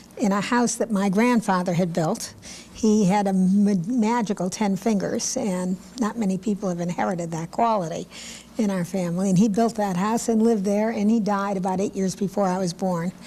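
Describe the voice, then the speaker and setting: Somewhat breathy, with a dark, mellow tone and an American accent. The delivery comes at a moderate pace with fairly even intonation. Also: woman, medium pitch for a woman. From Connecticut, Hartford area. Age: 70s. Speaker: lawyer. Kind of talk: oral history interview.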